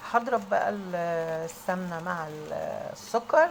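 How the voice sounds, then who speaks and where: A woman speaks with an Egyptian accent. Her pitch sits in the medium range. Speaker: home cook. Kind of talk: tutorial. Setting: kitchen. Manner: raised voice.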